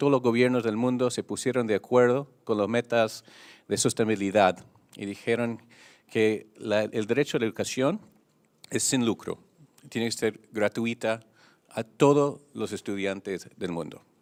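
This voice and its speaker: Speaking with a non-native accent, a man uses a medium pitch and fairly even intonation at a fairly slow pace. The recording is very clean with a silent background, and the sound is dry and close with no echo. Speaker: international union leader. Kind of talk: press conference statement. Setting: press conference.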